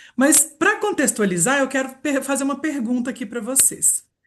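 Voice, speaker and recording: Her tone is animated and her intonation lively. The woman's pitch sits high. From Minas Gerais, Brazil. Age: 40s. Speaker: reiki therapist and aromatherapy presenter. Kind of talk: live webinar presentation.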